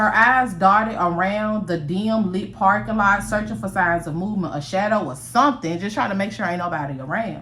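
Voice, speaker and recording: A woman speaks fairly quickly at a medium pitch, animated and with lively intonation and hardly any pauses. Noticeable background noise and audible room echo surround her. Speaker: storyteller. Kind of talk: storytelling. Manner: fast.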